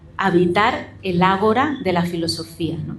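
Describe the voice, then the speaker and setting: A woman talks at a moderate pace in a somewhat breathy voice. Audible room echo surrounds her. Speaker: philosophy professor. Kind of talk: book presentation talk. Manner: some stammering.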